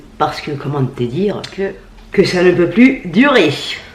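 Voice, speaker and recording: Animated woman's voice with very wide pitch swings, moderate pace and noticeable background noise. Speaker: beauty vlogger. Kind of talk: casual product review vlog.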